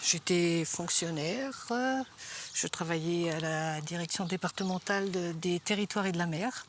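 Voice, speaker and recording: Noticeable background noise is present. A woman speaks fairly slowly at a fairly low pitch with ordinary pitch variation. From France, Vendée. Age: 70s. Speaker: retired handball player and club official. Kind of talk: TV interview. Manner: halting, many hesitations.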